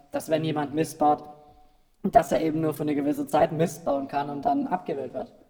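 Over music in the background, a man's fairly high-pitched voice is heard. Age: 20s. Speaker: voter guest, office employee. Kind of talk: casual interview chat. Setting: radio studio, live broadcast.

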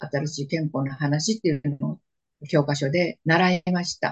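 The voice is somewhat breathy, captured with a dry, close sound and no echo. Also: woman. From Manchuria (northeast China), Japanese settler community. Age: 90s. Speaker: war survivor. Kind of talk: interview testimony.

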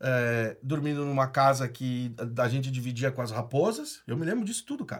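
A man is speaking. His pace is moderate. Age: 30s. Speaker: startup founder and entrepreneur. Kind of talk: casual interview, personal storytelling. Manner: casual, slangy with many fillers.

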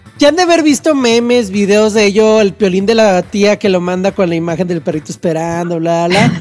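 Amid noticeable background noise, a high-pitched man talks at a fairly quick pace with lively intonation and hardly any pauses. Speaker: radio host. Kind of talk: casual chat.

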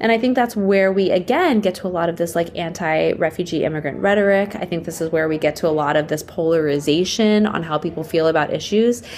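With an American accent, the voice carries an animated tone and lively intonation. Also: woman. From Pittsburgh, Pennsylvania. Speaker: nonprofit founder. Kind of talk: interview.

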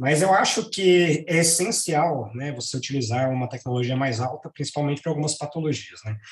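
Over noticeable background noise, the speech moves at a fairly quick pace with hardly any pauses and ordinary pitch variation. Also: man, fairly high pitch for a man. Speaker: radiation oncologist. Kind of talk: professional panel discussion.

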